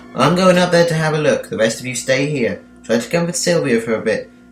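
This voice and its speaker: A man speaks at a fairly quick pace with lively intonation and a fairly high pitch. Music plays behind him. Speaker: amateur audiobook narrator. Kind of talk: horror audiobook narration.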